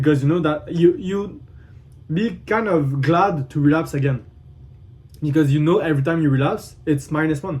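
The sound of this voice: A man speaks with a fairly high pitch. His tone is slightly mellow. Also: ordinary pitch variation, moderate pace.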